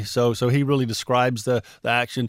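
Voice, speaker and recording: The recording is very clean, with a silent background. A man with an Alabama accent and a medium pitch talks at a fairly quick pace. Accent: Southern US (Alabama). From US South, Mobile, Alabama. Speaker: former pro football player. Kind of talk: interview. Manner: halting, many repeated words.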